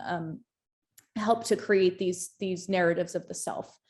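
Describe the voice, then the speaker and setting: Her intonation fairly even, a woman speaks at a moderate pace in a very clean recording with a silent background. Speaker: doctoral researcher and former firefighter. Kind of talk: academic panel presentation. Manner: halting, many fillers and repetitions.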